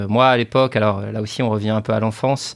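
Fairly low-pitched male speech, monotone and flat, at a fairly quick pace against a quiet background. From northern France, Dunkirk area. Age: 40s. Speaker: CEO of a mortgage broker. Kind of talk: interview. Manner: halting, many repetitions.

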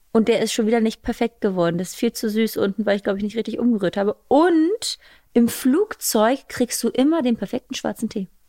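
In a plain, everyday voice, a woman talks at a fairly quick pace with ordinary pitch variation, the sound dry and close with no echo on a very clean recording with a silent background. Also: fairly high pitch for a woman. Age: 30s. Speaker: podcast host and new mother. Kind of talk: casual chat.

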